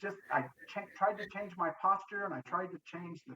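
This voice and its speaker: This man's voice is raised and projected, high in pitch, with a bright, sharp tone. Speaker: war veteran. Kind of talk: casual chat. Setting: video call. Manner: loud; assertive.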